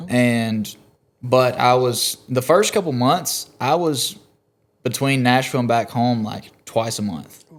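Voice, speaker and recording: On a very clean recording with a silent background, a man with a Southern US accent speaks very slowly at a medium pitch with ordinary pitch variation. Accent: Southern US (Georgia). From US South, South Georgia. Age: 20s. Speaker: country singer-songwriter. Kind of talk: casual chat.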